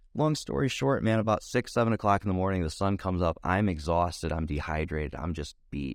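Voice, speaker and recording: On a very clean recording with a silent background, a man with a very deep, low pitch talks at a fairly quick pace with hardly any pauses. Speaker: recovering addict sharing his story. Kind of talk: testimony. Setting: makeshift home podcast booth.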